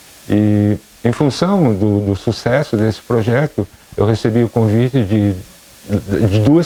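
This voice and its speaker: A man speaks at a fairly slow pace with a fairly low pitch. Noticeable background noise runs under his voice. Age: 60s. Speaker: schoolteacher. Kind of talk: interview.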